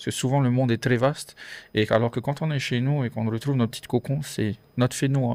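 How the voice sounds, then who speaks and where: The delivery is very fast, with fairly even intonation. The recording is very clean, with a silent background. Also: man, medium pitch for a man. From French Polynesia. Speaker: podcast guest. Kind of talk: casual interview chat. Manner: hesitant, many fillers.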